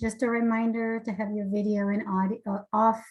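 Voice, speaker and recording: At a moderate pace, a woman talks in a medium pitch with a somewhat breathy voice. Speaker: webinar facilitator. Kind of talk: webinar moderation. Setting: video call.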